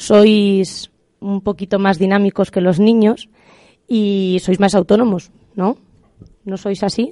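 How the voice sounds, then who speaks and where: A woman speaks at a very slow pace with long, frequent pauses, her dark, mellow voice flat and monotone at medium pitch. The sound is dry and close with no echo, over a quiet background. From Spain, Salamanca province. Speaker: secondary school teacher. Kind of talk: interview.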